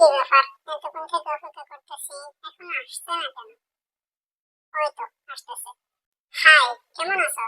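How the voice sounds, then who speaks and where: A female-sounding voice does a high-pitched cartoonish character voice at a moderate pace. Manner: blunt, defiant.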